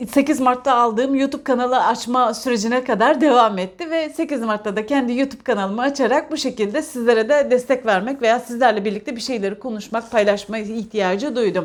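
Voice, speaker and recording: A woman speaks at a fairly quick pace in a high voice. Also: ordinary pitch variation, hardly any pauses. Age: 40s. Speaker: parenting vlogger, parent. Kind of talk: casual monologue, book discussion. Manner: halting, many filler sounds.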